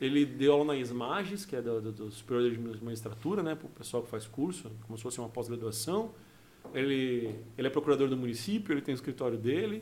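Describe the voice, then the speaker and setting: This man talks very fast at a medium pitch, his pitch varying in an ordinary way while his loudness swings widely. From Rio Grande do Sul, raised in Mato Grosso do Sul. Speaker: criminal lawyer and former comedian. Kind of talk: casual chat.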